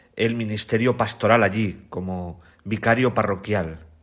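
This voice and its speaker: In a very clean recording with a silent background, a man speaks in a normal speaking voice at a medium pitch and a fairly slow pace. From Spain, La Mancha (Ciudad Real). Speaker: priest and biblical scholar. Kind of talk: radio interview, testimony.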